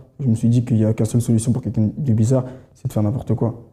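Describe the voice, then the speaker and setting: A man speaks very fast at medium pitch, his tone dark and mellow and somewhat breathy. His intonation is monotone and flat. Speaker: church member giving testimony. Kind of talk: testimony. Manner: halting.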